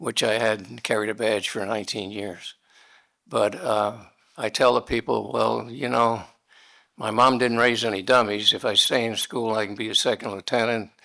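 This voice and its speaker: A man's fairly low voice with vocal fry, a bright, sharp tone and fairly even intonation, at a moderate pace. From New York City. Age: 80s+. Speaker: war veteran. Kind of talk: speech.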